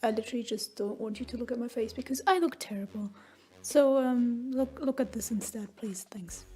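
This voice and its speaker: With music in the background, a woman speaks at a fairly quick pace and a high pitch, with ordinary pitch variation. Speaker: writer. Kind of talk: casual rambling voiceover. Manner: rambling, hesitant.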